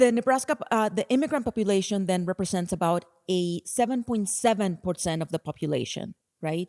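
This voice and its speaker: In a Spanish accent, a woman with a dark, mellow tone speaks fairly quickly at a medium pitch with lively intonation, the sound dry and close with no echo. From Colombia, Bogota. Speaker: nonprofit executive director. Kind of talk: conference talk.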